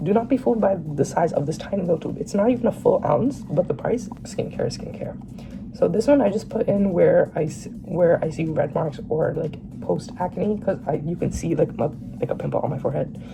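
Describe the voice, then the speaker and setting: A woman speaks fairly quickly while noticeable background noise continues. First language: Bengali. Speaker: vlogger. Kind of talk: casual Q&A vlog. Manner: rambling, hesitant with many fillers.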